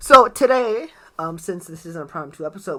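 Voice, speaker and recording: A man projects a raised voice with a bright, sharp tone and lively intonation. His pace is moderate. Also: very clean recording, silent background. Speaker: podcast host. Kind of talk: casual chat. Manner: casual, filler-heavy.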